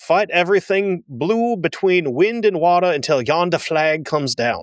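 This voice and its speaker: A man puts on a character voice with a drawling Southern accent and a high pitch. He keeps a moderate pace. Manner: exaggerated drawl.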